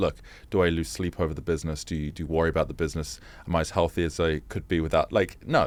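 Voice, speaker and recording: A man with a London accent and a very deep, low pitch, at a very fast pace. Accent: British (London). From England (London). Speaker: fintech founder and CEO. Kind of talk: interview conversation. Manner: conversational with frequent hesitations and restarts.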